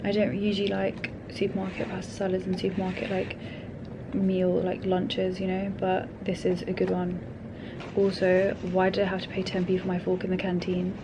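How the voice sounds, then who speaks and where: In a London accent, a woman speaks at a medium pitch with monotone, flat intonation, amid audible room echo and noticeable background noise. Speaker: vlogger. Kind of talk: casual vlog monologue. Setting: office. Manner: speaking quietly; fast, chatty.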